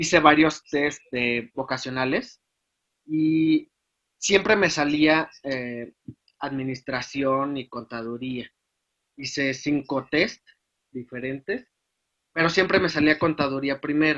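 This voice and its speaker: Fairly high-pitched man with a bright, sharp tone, ordinary pitch variation, very slow pace and long, frequent pauses. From Guadalajara, Jalisco, Mexico. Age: 20s. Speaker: accounting student. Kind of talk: interview. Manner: halting, many fillers.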